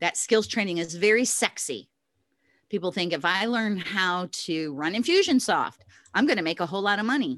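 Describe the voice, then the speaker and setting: A woman talks in an ordinary speaking voice at medium pitch, her intonation lively. She keeps a moderate pace against a quiet background. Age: 60s. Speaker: virtual assistant business coach. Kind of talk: interview.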